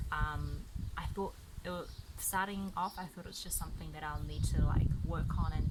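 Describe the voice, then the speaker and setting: A woman speaks with a New Zealand accent over noticeable background noise. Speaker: gaming YouTuber. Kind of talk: casual talk to camera. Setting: outdoors.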